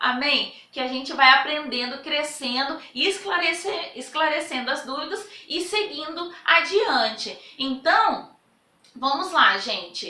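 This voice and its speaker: Speaking at a very slow pace, a woman uses a raised, projected voice that is high in pitch, with lively intonation. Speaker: Bible teacher. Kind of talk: lecture. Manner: animated.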